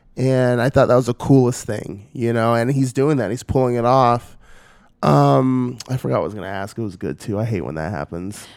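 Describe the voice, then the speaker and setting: Heard in a very clean recording with a silent background, a man with an American accent talks at a fairly quick pace, medium in pitch and lively in intonation. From Northern California. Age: 20s. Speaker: podcast host. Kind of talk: casual interview. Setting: at guest's home. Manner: animated.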